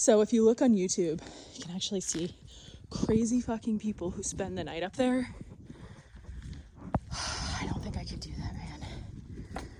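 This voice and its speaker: A woman talks with long, frequent pauses and big swings in loudness. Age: 30s. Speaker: travel vlogger. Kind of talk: casual vlog narration. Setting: outdoors. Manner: animated.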